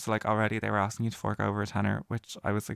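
Speaking at a very fast pace, a man has a fairly low pitch, vocal fry and fairly even intonation, with a dry, close sound and no echo. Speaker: podcast host. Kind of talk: casual chat. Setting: home recording in bedroom. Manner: giggly, chatty.

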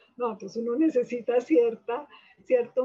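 A normal speaking voice, a woman's, fairly high in pitch. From Colombia, Manizales. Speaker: psychiatrist. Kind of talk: interview.

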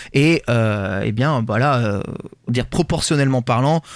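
A man with medium pitch speaks at a moderate pace in an ordinary speaking voice. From rural France. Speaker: podcast host. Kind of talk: casual chat. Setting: remote recording.

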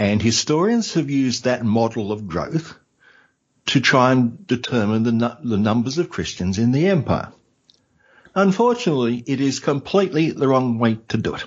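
Lively intonation marks a man speaking with an Australian accent. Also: medium pitch for a man, moderate pace. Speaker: history podcaster. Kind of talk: casual interview. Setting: in person at host's home.

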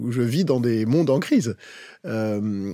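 Lively intonation marks a man's dark, mellow tone. The recording is very clean, with a silent background and a dry, close sound with no echo. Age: 50s. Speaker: HR director. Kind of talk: casual chat.

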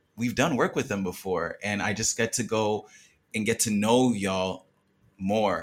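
On a very clean recording with a silent background, a man with a normal speaking voice and fairly low pitch talks at a fairly slow pace with fairly even intonation. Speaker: new podcast team member. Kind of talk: casual chat.

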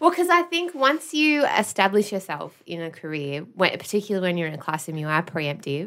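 Speaking in an Australian accent, a woman with medium pitch talks at a fairly quick pace with very wide pitch swings and hardly any pauses. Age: 30s. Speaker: podcast producer and former teacher. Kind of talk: casual chat.

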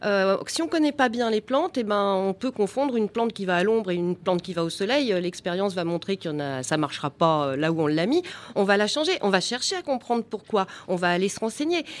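Pitch rises and falls very widely here. The pace is fairly quick. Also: woman, medium pitch for a woman. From Val d'Oise, France. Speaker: gardening business founder. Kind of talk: live radio panel discussion. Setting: live broadcast at public event.

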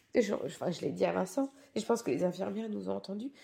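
A woman with vocal fry talks at a moderate pace in a dark, mellow tone. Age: 40s. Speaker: mother of a child with Down syndrome. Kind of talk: testimony.

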